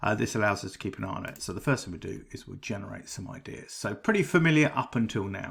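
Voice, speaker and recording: Fairly low in pitch, a man talks at a fairly quick pace with lively intonation. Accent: British. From Britain. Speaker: AI writing tool reviewer. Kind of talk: tutorial. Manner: casual, with frequent ums and uhs.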